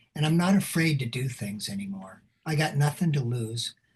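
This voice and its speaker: Somewhat breathy and fairly high-pitched, a man speaks at a fairly slow pace with lively intonation. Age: 70s. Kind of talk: interview. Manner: animated.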